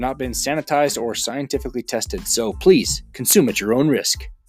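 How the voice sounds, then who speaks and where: With music playing in the background, a man talks at a fairly quick pace in an American accent. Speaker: podcast host. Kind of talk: casual interview.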